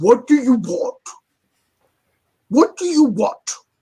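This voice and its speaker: Putting on a gruff character voice, a man speaks at an extremely high pitch and a fairly slow pace. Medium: actual play. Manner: gruff, suspicious.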